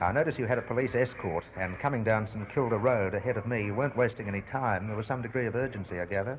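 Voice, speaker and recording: A man with an Australian accent at a very fast pace, ordinary pitch variation, music in the background. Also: medium pitch for a man. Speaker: radio news reporter. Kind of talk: radio news interview.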